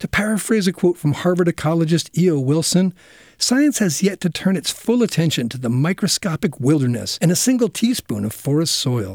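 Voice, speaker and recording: A high-pitched man speaks fairly quickly in a warm, playful tone with very wide pitch swings. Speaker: conservation radio host. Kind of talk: nature documentary narration, educational radio segment. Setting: radio studio. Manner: warm, gently explanatory, lightly playful.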